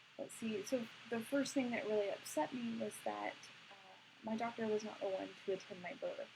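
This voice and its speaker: A woman's fairly high voice rises and falls in an ordinary way while noticeable background noise is heard. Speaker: birth educator. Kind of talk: live stream talk. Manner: hesitant, many fillers.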